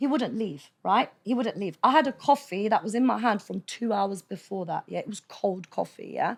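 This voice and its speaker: With hardly any pauses, a woman speaks at a moderate pace in a fairly high, animated voice with vocal fry and lively intonation on a very clean recording with a silent background. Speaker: podcast guest. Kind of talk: casual chat. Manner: loud.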